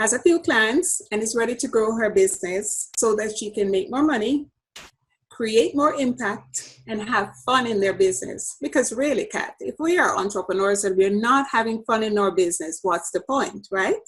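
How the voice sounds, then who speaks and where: Speaking with a Jamaican accent, a woman sounds somewhat breathy, with a fairly high pitch, lively intonation and a moderate pace. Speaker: business coach. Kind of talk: podcast interview.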